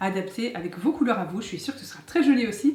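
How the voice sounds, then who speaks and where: With noticeable background noise, a woman talks at a very fast pace in a fairly high voice with lively intonation. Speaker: DIY YouTuber. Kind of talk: tutorial. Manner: soft-spoken.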